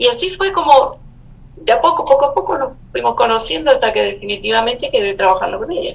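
There is noticeable background noise behind this woman. She speaks at a very fast pace. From Chile. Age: 70s. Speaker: poet and writer. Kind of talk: interview.

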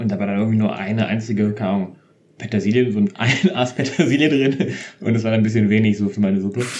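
The speech moves at a very fast pace. Its intonation stays fairly even. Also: man, fairly low pitch for a man. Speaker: podcast co-host. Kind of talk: casual chat.

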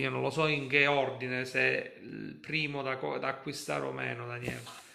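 A man is speaking here. His pace is fairly slow. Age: 40s. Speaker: football fan livestream host. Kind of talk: casual chat.

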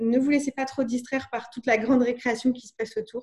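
Fairly quick in pace, a woman talks with a dark, mellow tone at a fairly high pitch. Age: 30s. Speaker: communication agency founder. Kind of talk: interview.

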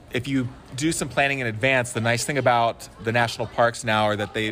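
A man talks at a fairly quick pace with fairly even intonation. Noticeable background noise is present. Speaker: grandson and hiking companion. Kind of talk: casual interview chat.

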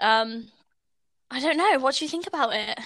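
The sound is dry and close with no echo, in a very clean recording with a silent background. A woman with a British accent speaks in a bright, sharp tone. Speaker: podcast host, student. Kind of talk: casual chat.

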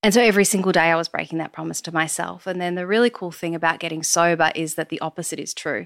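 With an Australian accent, a woman talks very fast in a fairly low pitch with ordinary pitch variation and hardly any pauses, her sound dry and close with no echo. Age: 30s. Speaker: podcaster and yoga teacher in addiction recovery. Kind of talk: interview testimony.

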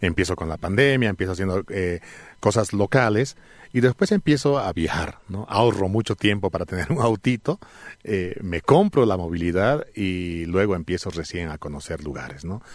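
An unremarkable speaking voice moves at a moderate pace with lively intonation in a very clean recording with a silent background. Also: man, fairly low pitch for a man. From Bolivia, Alto Beni (La Paz department lowlands). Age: 40s. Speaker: travel content creator. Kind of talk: interview. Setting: studio.

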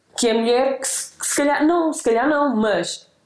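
A woman is speaking. Her pace is moderate. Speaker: human rights activist. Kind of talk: casual interview conversation. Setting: host's home.

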